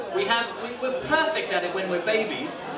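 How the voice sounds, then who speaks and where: A man talks at a moderate pace. Crowd noise fills the background. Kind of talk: instructional workshop talk. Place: cafe. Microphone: camera far.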